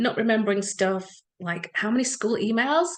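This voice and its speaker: With an English accent, a woman talks at a fairly high pitch with ordinary pitch variation against a quiet background. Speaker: EFT practitioner. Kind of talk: talk to an audience. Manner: fast; animated.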